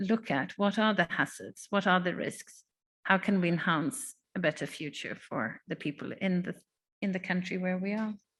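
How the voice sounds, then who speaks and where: Over a quiet background, a woman speaks at a moderate pace and medium pitch. Her voice is somewhat breathy, with ordinary pitch variation. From Sweden. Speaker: panel moderator. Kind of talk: panel discussion. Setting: conference room with audience.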